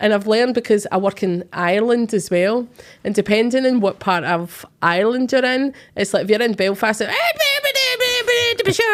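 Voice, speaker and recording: In a Glaswegian accent, a woman speaks at a moderate pace and a fairly high pitch, her loudness very even and her pitch varying in an ordinary way. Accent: Glaswegian Scottish. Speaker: psychic medium and podcast host. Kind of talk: casual chat. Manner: animated.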